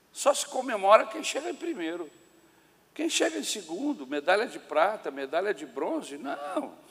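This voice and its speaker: Against noticeable background noise, a man with a high pitch speaks at a moderate pace. His pitch swings very widely and his loudness rises and falls sharply. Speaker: pastor. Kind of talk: sermon. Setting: church.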